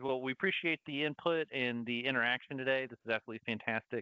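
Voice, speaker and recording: A man at medium pitch, talking at a very fast pace in a slight Southern US accent. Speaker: webinar host. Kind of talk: live webinar Q&A.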